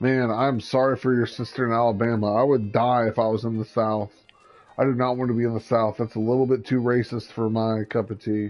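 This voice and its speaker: Speaking with an American accent, a man uses a medium pitch and flat, monotone intonation at a fairly quick pace. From US Midwest. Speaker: gaming livestreamer. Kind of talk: casual chat.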